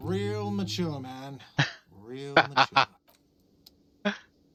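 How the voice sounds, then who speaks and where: A man shouts in a put-on character voice. The act comes across as whiny. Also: medium pitch for a man. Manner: shouting, annoyed.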